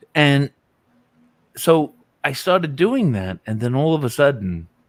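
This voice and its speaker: A man with a New York accent and a fairly high pitch, at a fairly slow pace with very wide pitch swings, in a dry, close sound with no echo. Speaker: music YouTuber. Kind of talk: casual live-stream chat.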